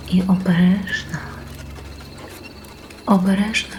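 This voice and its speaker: The speaker is soft-spoken and talks at a very slow pace. Music plays in the background. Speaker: sleep story narrator. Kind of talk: sleep story narration. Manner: soft, gentle, calm.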